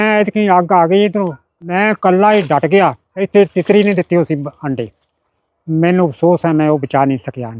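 Recorded with a dry, close sound and no echo, a man speaks in a high pitch with lively intonation. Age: 80s+. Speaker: farmer. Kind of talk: interview answer.

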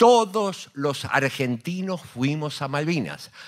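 Over a quiet background, a man talks at a very slow pace in a fairly high pitch, with very wide pitch swings. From Argentina. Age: 60s. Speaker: war veteran and radio host. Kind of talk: panel talk. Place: hall. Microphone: handheld.

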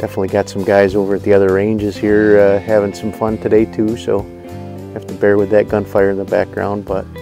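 Clear music plays in the background as the speech rushes by at a very fast pace, monotone and flat, with a dry sound and no echo. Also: man, fairly low pitch for a man. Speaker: shooter reviewing ammunition. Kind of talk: casual commentary. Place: open country.

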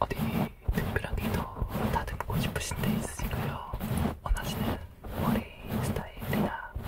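A man whispers at a moderate pace. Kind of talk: soft-spoken role-play talk. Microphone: studio mic.

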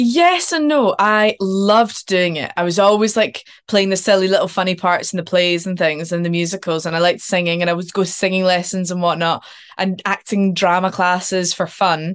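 Over a quiet background, a woman with a Scottish accent talks at a moderate pace with fairly even intonation. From Scotland. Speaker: actor. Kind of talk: casual interview chat. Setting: video call. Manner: chatty, laughs often. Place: home room. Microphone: video call.

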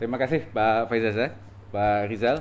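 A man's medium-pitched voice at a moderate pace, with fairly even intonation and light background noise. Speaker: foreign ministry director. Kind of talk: press briefing. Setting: virtual press briefing. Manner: halting, many filler sounds. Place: meeting room.

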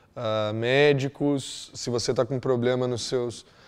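This man speaks in a monotone with flat intonation. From Brazil, Londrina, Paraná; Paraná, Brazil. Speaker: exchange student. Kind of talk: testimonial. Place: office.

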